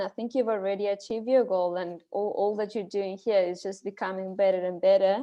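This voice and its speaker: A woman with a non-native accent speaks at a medium pitch with fairly even intonation. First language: not English. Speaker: speech evaluator. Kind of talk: speech evaluation. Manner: halting.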